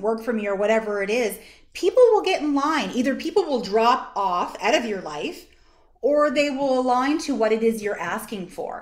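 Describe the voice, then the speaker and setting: Here is a woman with an unremarkable speaking voice. She talks at a moderate pace with ordinary pitch variation. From Canada, East Coast (Nova Scotia). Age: 40s. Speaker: social work association executive director. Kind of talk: workshop presentation. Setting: video call.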